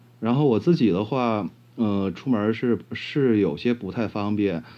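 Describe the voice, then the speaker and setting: Fairly low for a man, his dark, mellow voice moves with ordinary pitch variation. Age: 30s. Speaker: blind interviewee. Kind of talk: casual interview. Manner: halting, many fillers.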